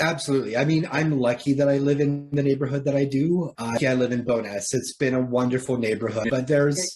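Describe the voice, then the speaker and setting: Here is a man with an unremarkable speaking voice at a medium pitch. He moves at a fairly quick pace with ordinary pitch variation. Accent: Canadian. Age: 30s. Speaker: person with lived experience of poverty. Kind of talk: interview.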